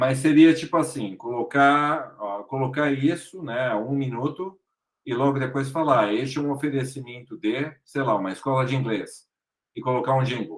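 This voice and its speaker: A man with a São Paulo accent speaks at a medium pitch. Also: ordinary pitch variation, moderate pace. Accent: Brazilian Portuguese, São Paulo. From Brazil, São Paulo. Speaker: actor and podcaster. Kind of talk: interview.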